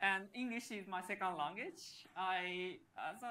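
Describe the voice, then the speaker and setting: A woman talks with a Japanese accent and a medium pitch. Audible room echo is present. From Japan, Yokosuka. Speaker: software engineer and developer advocate. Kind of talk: conference talk.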